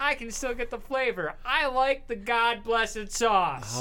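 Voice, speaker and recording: Projecting a raised voice, a man talks at a moderate pace. His pitch is high and his tone bright and sharp. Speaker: radio talk show host.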